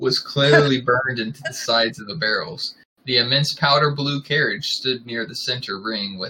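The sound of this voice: Pitch shifts in an ordinary way throughout this unforced reading voice.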